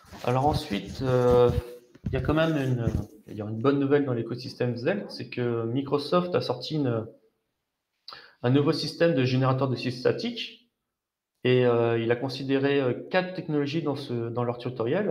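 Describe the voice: There is audible room echo around a man whose tone is slightly mellow. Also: medium pitch for a man, ordinary pitch variation, moderate pace.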